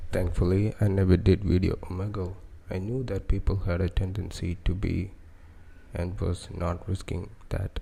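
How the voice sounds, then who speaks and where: Soft-spoken, somewhat breathy speech with a dark, mellow tone, monotone, flat intonation and a moderate pace. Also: man, very deep, low pitch for a man. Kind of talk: ASMR soft-spoken story narration.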